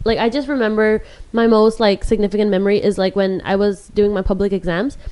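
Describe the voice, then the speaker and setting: A woman speaks at a very fast pace with a fairly high pitch. Her tone is dark and mellow. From Hong Kong, Indian family. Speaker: podcast co-host. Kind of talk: casual chat. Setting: video recording.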